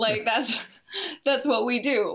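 At a moderate pace, a woman with an American accent talks with ordinary pitch variation. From US Midwest, Detroit area. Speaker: musician. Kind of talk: casual interview.

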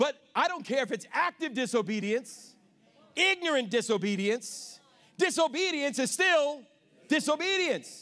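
Raised and projected, a man's voice is animated, bright and sharp, at an extremely high pitch with very wide pitch swings and a fairly slow pace. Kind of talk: sermon. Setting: church. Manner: animated, exhortative call-and-response, urging the congregation to answer 'amen'; fervent and confrontational, pressing the congregation.

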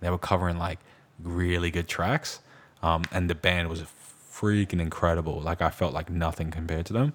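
Speaking with an American accent, a man with a very deep, low voice moves at a fairly quick pace with fairly even intonation, on a very clean recording with a silent background. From New York. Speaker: podcast co-host. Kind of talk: casual chat.

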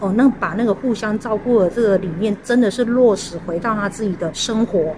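Against noticeable background noise, a woman with a Taiwanese accent speaks at a moderate pace with a fairly high pitch. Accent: Taiwanese Mandarin. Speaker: elder care organizer. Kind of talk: interview.

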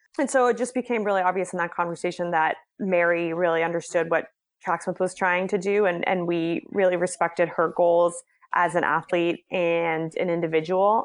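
A woman speaks at a moderate pace with a fairly low pitch and fairly even intonation. Her loudness stays very even against a quiet background. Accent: American. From Boston, Massachusetts (West Roxbury). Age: 30s. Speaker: head of communications at a running brand. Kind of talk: podcast interview.

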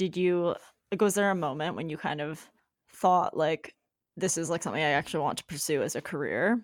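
Here is a woman with a plain, everyday voice. She talks at a fairly quick pace. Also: fairly low pitch for a woman, fairly even intonation. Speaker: podcast host. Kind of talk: casual interview chat. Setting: video call with guest.

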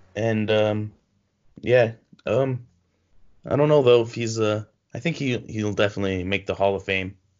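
A man speaks at a moderate pace with long, frequent pauses. His voice is fairly low-pitched, with ordinary pitch variation. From Canada (Toronto). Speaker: sports podcast co-host. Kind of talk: casual chat.

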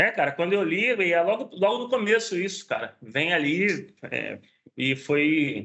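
With lively intonation, a man talks at a fairly slow pace in a high pitch. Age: 40s. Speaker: special effects technician. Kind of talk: casual chat. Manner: halting.

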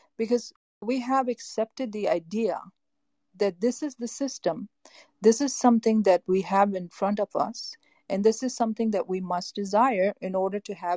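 A woman with an American accent speaks in a dark, mellow tone that is somewhat breathy, with ordinary pitch variation. The sound is dry and close with no echo over a quiet background. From US Northeast, Boston. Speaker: life coach and therapist. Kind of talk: interview.

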